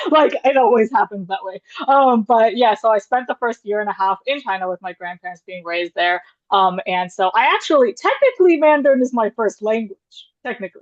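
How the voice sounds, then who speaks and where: A woman talks at a fairly quick pace and a fairly high pitch, her intonation lively. The sound is dry and close, with no echo. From US. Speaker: panelist. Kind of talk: panel discussion. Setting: video call. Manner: casual, hesitant with many fillers.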